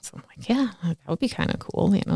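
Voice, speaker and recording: A woman with a Lithuanian accent speaks in a dry, close sound with no echo. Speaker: community organizer. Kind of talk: interview. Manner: animated.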